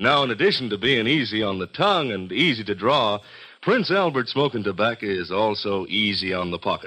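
This man's voice sits fairly low, with an upbeat, bright, sharp tone. He talks at a fairly quick pace. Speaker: radio announcer. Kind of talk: 1950s radio commercial, sponsor pitch. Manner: smooth, hearty, salesman-like, upbeat.

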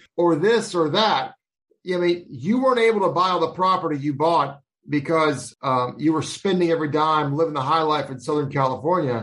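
This man has a normal speaking voice, pitched fairly high for a man, with ordinary pitch variation and a moderate pace. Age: 40s. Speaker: financial advisor podcast host. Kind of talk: interview.

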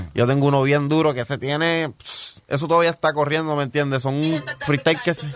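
Noticeable background noise runs beneath a man's voice. He speaks at a fairly high pitch and a fairly quick pace, with fairly even intonation. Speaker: rapper. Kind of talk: casual interview chat. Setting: studio.

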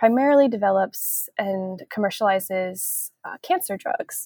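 A woman with an American accent has an ordinary speaking voice at medium pitch and ordinary pitch variation, captured with a dry, close sound with no echo. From US Pacific Northwest, Seattle suburb. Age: 30s. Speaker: traveler on an adult gap year, former corporate employee. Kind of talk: interview conversation. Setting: remote call, early morning.

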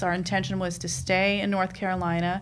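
Audible room echo surrounds the voice. It belongs to a woman talking with an American accent. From New York, Queens. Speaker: dance mom, reality TV cast member. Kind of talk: casual chat.

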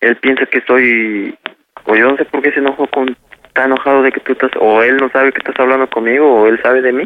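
A man speaks in a plain, everyday voice at medium pitch. His intonation is fairly even and his pace fairly quick. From Mexico, Puebla. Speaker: prank call victim. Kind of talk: phone conversation. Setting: phone call.

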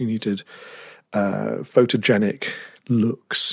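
Here a man with a British accent talks in a fairly low voice. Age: 30s. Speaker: tech journalist. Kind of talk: interview.

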